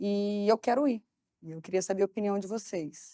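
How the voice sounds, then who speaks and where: In a very clean recording with a silent background, a woman speaks at a medium pitch with a dark, mellow tone and ordinary pitch variation. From Brazil, Barra Mansa (Rio de Janeiro state). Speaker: marketing executive. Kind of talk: interview conversation.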